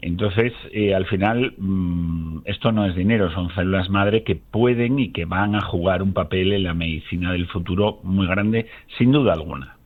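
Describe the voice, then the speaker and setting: A man's very deep, low voice with hardly any pauses. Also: ordinary pitch variation, moderate pace. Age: 60s. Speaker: biologist and company founder. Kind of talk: radio interview.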